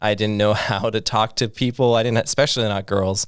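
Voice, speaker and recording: On a very clean recording with a silent background, a man speaks in a normal speaking voice. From US Midwest, Iowa. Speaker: podcast co-host. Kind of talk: casual chat.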